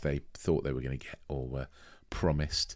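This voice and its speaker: Speaking with a British accent and vocal fry, a man talks at a fairly quick pace in a very clean recording with a silent background. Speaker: podcast co-host. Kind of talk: casual chat, film review.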